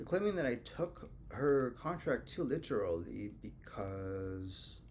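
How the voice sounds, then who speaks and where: The speaker is a man with a non-native accent. He talks very slowly. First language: not English. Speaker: legal self-litigant. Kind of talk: casual screen-share commentary. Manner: hesitant, many fillers.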